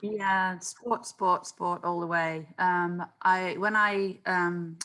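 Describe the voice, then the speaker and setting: A woman with a British accent speaks at a very slow pace. Her medium-pitched voice is bright and sharp, with fairly even intonation. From England, Stoke-on-Trent. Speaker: sports club founder. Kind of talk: interview conversation. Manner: hesitant with fillers.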